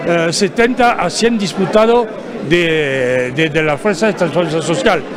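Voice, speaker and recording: With a French accent and lively intonation, a man speaks amid noticeable background noise and audible room echo. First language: French (speaking Spanish). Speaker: labour union leader, political delegate. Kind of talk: TV interview. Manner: halting, many fillers and false starts.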